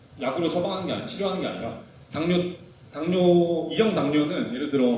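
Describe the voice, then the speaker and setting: Over noticeable background noise and audible room echo, a man with a fairly high voice talks at a fairly quick pace. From South Korea. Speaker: physical therapist. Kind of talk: lecture. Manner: fast.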